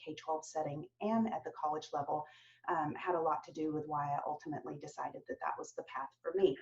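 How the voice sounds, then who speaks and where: A woman with a slight Southern US accent talks at a moderate pace with lively intonation. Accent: slight Southern twang. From US South, Atlanta, Georgia. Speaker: professor. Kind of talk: virtual open house introduction. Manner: frequent fillers (um).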